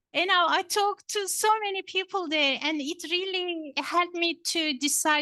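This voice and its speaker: In a Turkish accent, a woman projects her raised voice at a moderate pace with ordinary pitch variation. The sound is dry and close, with no echo. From Turkey, Istanbul. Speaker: professor. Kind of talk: lecture. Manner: hesitant, many fillers.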